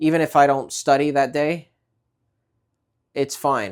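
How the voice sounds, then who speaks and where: In a New York accent, a man speaks fairly slowly with a fairly high pitch and fairly even intonation. The recording is very clean with a silent background. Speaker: vlogger. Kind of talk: casual vlog talk. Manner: hesitant, many fillers and repeats.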